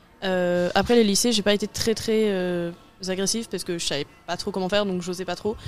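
This woman has an ordinary speaking voice, medium in pitch, and talks at a moderate pace. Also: fairly even intonation. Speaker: civic service volunteer. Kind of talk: radio interview.

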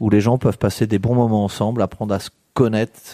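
A man's dark, mellow voice at a very fast pace, dry and close with no echo. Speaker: community association representative. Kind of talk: live radio discussion.

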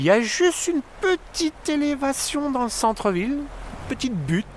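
A man's voice swings very widely in pitch as noticeable background noise carries on. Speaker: local guide. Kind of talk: guided walk commentary.

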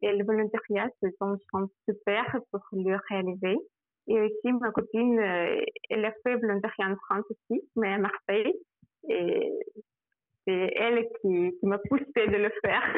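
The speaker has a Russian accent and a fairly slow pace, with long, frequent pauses. Loudness stays very even, and the pitch varies in an ordinary way. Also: woman, fairly high pitch for a woman. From Russia, Samara. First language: Russian (speaking French). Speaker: migration specialist, former European volunteer. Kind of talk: radio interview. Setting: phone call. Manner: halting.

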